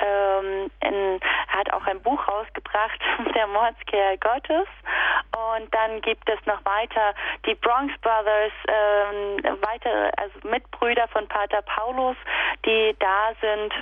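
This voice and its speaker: A woman of fairly high pitch at a very slow pace, fairly even intonation and very even loudness, with noticeable background noise. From Upper Lusatia, Saxony (Sorbian region). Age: 30s. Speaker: kindergarten teacher and festival organiser. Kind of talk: radio interview. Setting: phone call.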